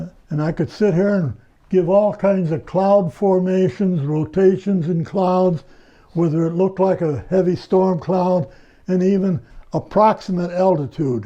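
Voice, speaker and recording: At a fairly slow pace, a man talks in a high, dark and mellow voice with ordinary pitch variation. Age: 90s. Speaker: retired telephone worker and ham radio operator. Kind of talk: casual interview.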